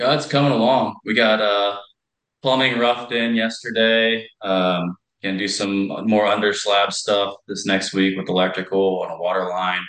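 An ordinary speaking voice from a man with an American accent, fairly low in pitch, at a moderate pace with fairly even intonation. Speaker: hardscape contractor. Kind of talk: casual chat.

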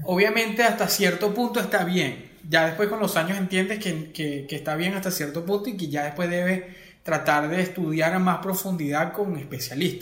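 Noticeable background noise accompanies a man with a high voice. He speaks at a moderate pace with ordinary pitch variation. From Venezuela, Acarigua (Portuguesa). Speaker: music video director. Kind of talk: interview.

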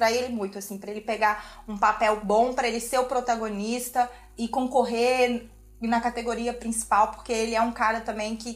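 The speaker has a normal speaking voice and keeps a moderate pace. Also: woman. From Brazil, Tocantins. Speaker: journalist. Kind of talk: casual chat.

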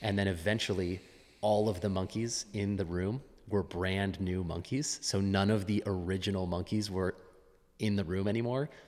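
A man with an American accent and a normal speaking voice, fairly low in pitch, at a moderate pace with fairly even intonation and very even loudness, on a very clean recording with a silent background. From US West Coast (Los Angeles). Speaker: fitness coach and athlete. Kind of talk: casual interview.

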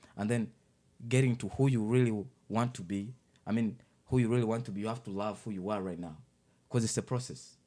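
Fairly low in pitch, a man speaks with a dark, mellow tone and an African accent. He keeps a fairly quick pace. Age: 20s. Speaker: youth worker and public speaker. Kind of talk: casual interview. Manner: charismatic.

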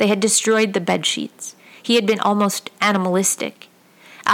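An unforced reading voice with fairly even intonation.

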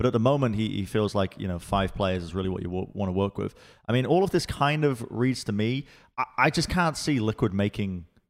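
In a very clean recording with a silent background, a man with an English accent speaks in a fairly low voice with lively intonation. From England. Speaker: esports podcast host. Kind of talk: casual chat. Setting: studio.

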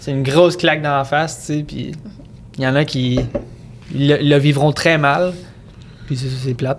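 A man with a Quebec accent, fairly high-pitched, at a fairly slow pace with monotone, flat intonation and long, frequent pauses, over noticeable background noise. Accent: Quebec French, Sorel. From Quebec, Sorel. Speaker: music producer. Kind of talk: casual chat.

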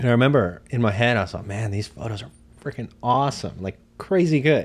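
A man with a normal speaking voice is heard in a very clean recording against a silent background. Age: 30s. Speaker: photographer. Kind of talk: casual chat.

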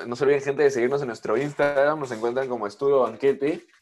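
Over music in the background, a man speaks with a fairly high pitch. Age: 20s. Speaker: podcast co-host, aspiring voice actor. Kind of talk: casual chat.

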